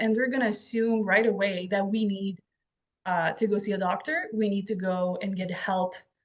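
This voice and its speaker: Speaking at a moderate pace, a woman with a French Canadian accent uses a medium pitch, a somewhat breathy quality and fairly even intonation. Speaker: podcast host and author. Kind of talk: interview conversation. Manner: halting.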